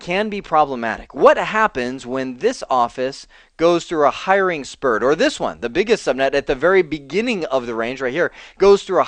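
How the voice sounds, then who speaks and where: A man speaks at a moderate pace in a high voice, his pitch swinging very widely. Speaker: networking instructor. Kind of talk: tutorial. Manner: casual, conversational.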